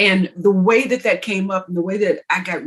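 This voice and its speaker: A woman with a Southern US accent talks at a moderate pace and medium pitch. Her voice is somewhat breathy, with ordinary pitch variation. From Texas. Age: 60s. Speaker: author. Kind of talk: interview. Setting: podcast. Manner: animated.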